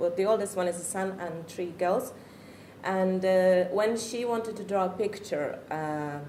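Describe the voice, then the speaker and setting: A woman with a Czech accent speaks at a moderate pace. Room echo is audible. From Czech Republic. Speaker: parent. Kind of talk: talk to an audience. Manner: halting.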